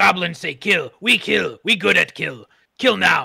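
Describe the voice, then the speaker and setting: A man does a raspy, put-on character voice at a fairly slow pace. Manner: simple-minded, aggressive, clipped broken speech.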